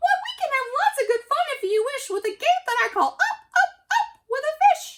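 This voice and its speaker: Putting on a squeaky character voice, a woman speaks at a moderate pace with extremely high pitch. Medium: read story. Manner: playful, showy.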